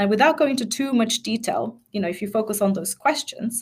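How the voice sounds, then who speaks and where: Somewhat breathy, a woman speaks at a fairly quick pace. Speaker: change management expert and mindset coach. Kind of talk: webinar presentation. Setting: online webinar. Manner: fast.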